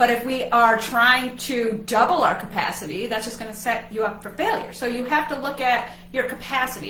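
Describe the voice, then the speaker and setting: A woman with ordinary pitch variation, amid noticeable background noise and audible room echo. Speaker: wellness coach. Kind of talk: casual chat. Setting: livestream. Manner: fast.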